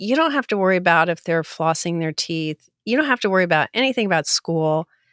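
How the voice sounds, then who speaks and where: An unremarkable speaking voice from a woman at medium pitch, with lively intonation, in a dry, close sound with no echo and a very clean recording against a silent background. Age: 60s. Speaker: author. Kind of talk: casual interview.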